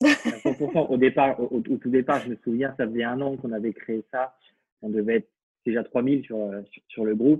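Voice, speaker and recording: With a medium pitch and ordinary pitch variation, a man speaks at a moderate pace, pausing long and often, his loudness swinging widely, in a dry, close recording with no echo. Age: 30s. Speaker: fashion association co-founder and digital marketing consultant. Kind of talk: casual interview.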